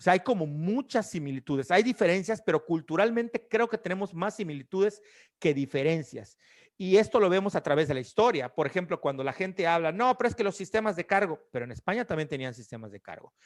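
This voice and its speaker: Lively and very fast, a man speaks at a high pitch with big swings in loudness. The recording is dry and close, without echo. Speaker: podcast host. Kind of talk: casual chat.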